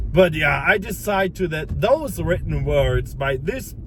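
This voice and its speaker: Against noticeable background noise, a man with a non-native accent speaks at a fairly slow pace in an animated tone. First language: not English. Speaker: self-improvement content creator. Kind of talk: casual motivational monologue. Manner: halting, many repeats and false starts.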